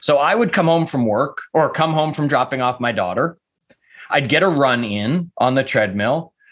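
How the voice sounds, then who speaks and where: This man talks at a moderate pace in an ordinary speaking voice, with a fairly high pitch, lively intonation and very even loudness. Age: 50s. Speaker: author and life coach, former real estate agent. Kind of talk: casual interview.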